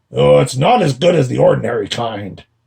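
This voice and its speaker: A man puts on a raspy character voice at medium pitch. He talks at a fairly quick pace. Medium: read story. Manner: grumbling, complaining.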